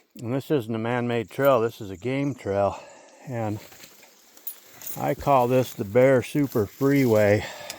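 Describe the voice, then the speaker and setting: A man speaking at a fairly slow pace with long, frequent pauses, ordinary pitch variation and noticeable background noise. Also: medium pitch for a man. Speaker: outdoorsman vlogger. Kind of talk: casual walking vlog. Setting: outdoors in forest. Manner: casual, relaxed.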